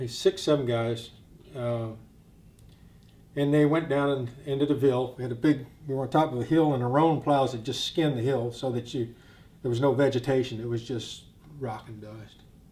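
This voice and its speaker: A man talks at a moderate pace in a somewhat breathy, medium-pitched voice. His intonation is fairly even, while his loudness swings widely. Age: 60s. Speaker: war veteran. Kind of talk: testimony. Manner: halting.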